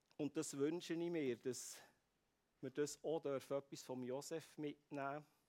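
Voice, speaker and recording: A man's dark, mellow tone comes through at a fairly high pitch with monotone, flat intonation, in a dry, close sound with no echo. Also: moderate pace. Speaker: preacher. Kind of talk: sermon.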